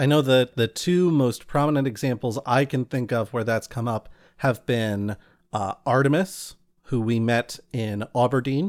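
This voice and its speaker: Here is an unremarkable speaking voice from a man, medium in pitch with ordinary pitch variation. He talks at a fairly slow pace, and the sound is dry and close with no echo. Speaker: podcast host and game master. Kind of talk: interview. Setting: video call.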